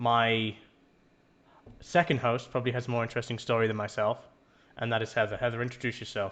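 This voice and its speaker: With an English accent, a man at a medium pitch speaks at a very fast pace, his intonation fairly even and broken by long, frequent pauses. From England. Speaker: podcast host, shaving business employee. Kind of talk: casual podcast chat.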